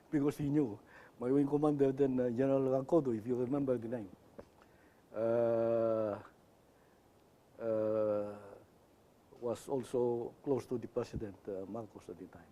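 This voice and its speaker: Big swings in loudness mark this dark, mellow voice, which keeps a moderate pace with long, frequent pauses. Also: man, medium pitch for a man, ordinary pitch variation. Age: 80s+. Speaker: retired air force general. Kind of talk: interview.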